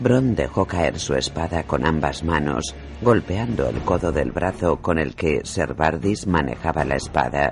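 Speaking at a fairly slow pace, a man with a very deep, low pitch uses lively intonation. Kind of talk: audiobook narration, reading a fantasy novel aloud. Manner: narrative reading, shifting tone for each character's dialogue.

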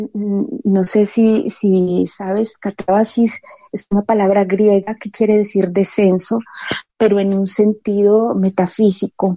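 Recorded dry and close with no echo, a woman speaks at a very slow pace and medium pitch. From Colombia, Medellín. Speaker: poet. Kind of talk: interview. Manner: reflective, hesitant.

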